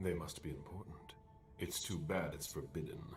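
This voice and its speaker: A man puts on a character voice, pitched very deep and low, at a moderate pace. Background noise is clearly heard. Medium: video game. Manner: measured, formal.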